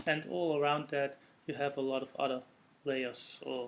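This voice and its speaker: Here is a man with a Dutch accent. His pitch is medium and his pace moderate. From Netherlands. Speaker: software developer. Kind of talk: technical presentation. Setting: recorded separately from meetup talk.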